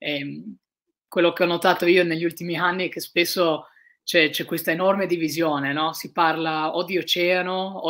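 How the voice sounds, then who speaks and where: Against a quiet background, a woman speaks fairly slowly in a fairly low, monotone, flat voice. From Italy, Trieste; Italy. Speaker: ocean sailor; guest. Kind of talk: interview.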